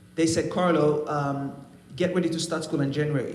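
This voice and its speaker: A man with a fairly high pitch speaks at a very fast pace, with noticeable background noise and audible room echo. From Haiti. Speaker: trumpet player. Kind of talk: testimony. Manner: halting.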